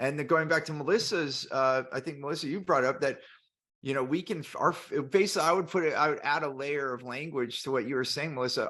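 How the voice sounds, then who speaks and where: The tone is bright and sharp, the pace fairly quick and the pitch variation ordinary, over a quiet background. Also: man. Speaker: business podcast host. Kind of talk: casual panel discussion. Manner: loud.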